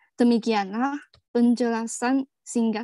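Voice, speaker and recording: In a dry recording with no echo and a quiet background, a woman speaks in a dark, mellow tone with monotone, flat intonation. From China. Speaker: webinar presenter. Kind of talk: prepared presentation. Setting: video call. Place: home room. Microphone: video call.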